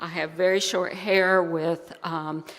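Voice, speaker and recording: A woman speaks at a very slow pace. Her fairly low voice holds fairly even intonation. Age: 60s. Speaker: church board member. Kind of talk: welcome announcement at worship service. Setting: church service.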